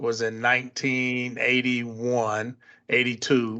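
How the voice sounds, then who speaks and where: A man speaks at a medium pitch with an American accent. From US Midwest (Chicago, Ann Arbor). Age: 60s. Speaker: construction company president. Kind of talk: podcast interview.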